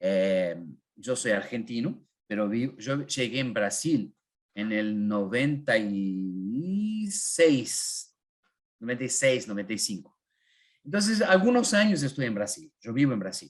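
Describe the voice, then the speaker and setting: A man speaks at a very slow pace in a medium pitch, his voice making very wide pitch swings. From northern Argentina (Corrientes). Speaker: Bible teacher. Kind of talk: online Bible class. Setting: live online class with chat. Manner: halting, many fillers.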